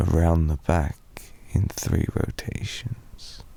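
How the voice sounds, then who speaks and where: Whispering at a very slow pace, a man speaks with a British accent over noticeable background noise. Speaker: ASMR roleplay performer. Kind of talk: ASMR boyfriend roleplay sleep aid. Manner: soft-spoken, rambling.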